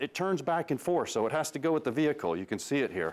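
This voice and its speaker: Over light background noise, a man speaks with lively intonation. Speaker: automotive TV host. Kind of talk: tutorial. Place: garage.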